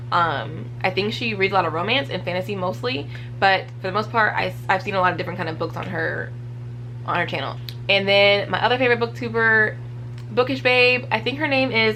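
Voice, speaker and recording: A woman speaks within audible room echo and noticeable background noise. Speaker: book reviewer. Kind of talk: casual vlog talk. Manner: animated.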